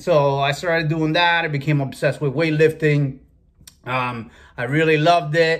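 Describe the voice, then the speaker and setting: Here a man speaks with a Spanish accent at a fairly high pitch. His intonation is fairly even and his pace moderate. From Cuba, raised in Massachusetts from about age 12. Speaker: food and fitness video creator. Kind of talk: personal storytelling monologue. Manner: casual with many fillers.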